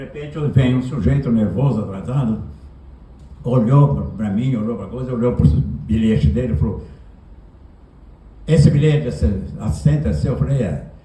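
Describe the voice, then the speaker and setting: Amid audible room echo and noticeable background noise, a man of medium pitch speaks at a moderate pace with very wide pitch swings and long, frequent pauses. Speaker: writer. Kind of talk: anecdote told at a literary talk. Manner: animated.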